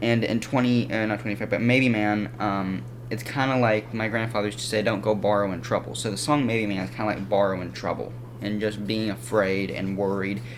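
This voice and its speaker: A man speaks at a fairly quick pace and fairly low pitch, with ordinary pitch variation. Noticeable background noise and audible room echo fill the recording. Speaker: music reviewer. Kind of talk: casual video review. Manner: fast; halting.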